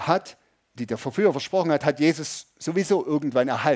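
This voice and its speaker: Over a very clean recording with a silent background, a man with an unremarkable speaking voice talks at a fairly high pitch with ordinary pitch variation. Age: 50s. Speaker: pastor. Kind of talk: sermon. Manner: conversational, audience-addressing.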